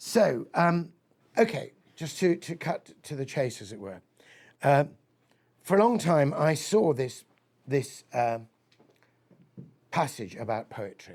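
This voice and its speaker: With a creaky vocal fry, the voice moves at a very slow pace, broken by long and frequent pauses, while its pitch swings very widely and its loudness rises and falls sharply. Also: man, fairly high pitch for a man. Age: 60s. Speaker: poet and lecturer. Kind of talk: lecture. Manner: animated.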